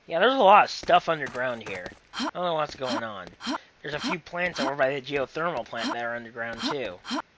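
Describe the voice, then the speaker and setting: Very wide pitch swings at a fairly quick pace, with noticeable background noise. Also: man, fairly high pitch for a man. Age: 20s. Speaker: gaming commentator. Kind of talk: recorded gameplay commentary. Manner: casual, halting. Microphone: laptop recording.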